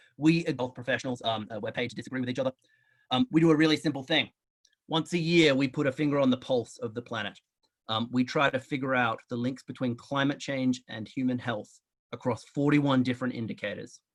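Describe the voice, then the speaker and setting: Talking at a very fast pace, a man with an Australian accent keeps a medium pitch and fairly even intonation. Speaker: public health researcher. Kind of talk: lecture.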